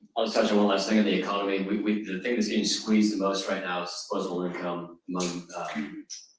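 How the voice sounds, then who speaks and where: Delivered at a very fast pace with hardly any pauses, the speech keeps a fairly even intonation. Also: man, fairly low pitch for a man. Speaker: state legislator. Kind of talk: panel discussion.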